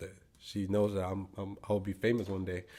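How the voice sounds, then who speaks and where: With a Spanish accent, a man uses a dark, mellow tone at a fairly low pitch and a moderate pace. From Guatemala. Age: 20s. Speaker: actor and singer. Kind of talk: interview. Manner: halting.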